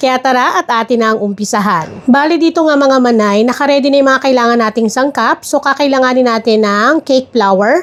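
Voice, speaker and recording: A woman talks at a fairly quick pace with hardly any pauses and very even loudness. Her pitch is high, with ordinary variation. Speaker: home baker, cooking channel host. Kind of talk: cooking tutorial. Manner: fast.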